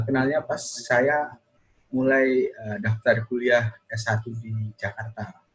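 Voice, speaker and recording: A man is speaking. He has a Javanese accent. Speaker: video podcast host. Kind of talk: casual chat.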